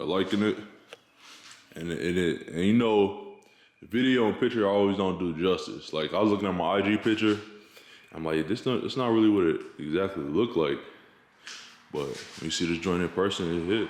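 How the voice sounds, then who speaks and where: A man with a fairly low pitch speaks at a fairly quick pace in a relaxed tone, with long, frequent pauses, ordinary pitch variation and audible room echo. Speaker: car vlogger. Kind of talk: casual vlog tutorial. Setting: home garage. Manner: relaxed, casual.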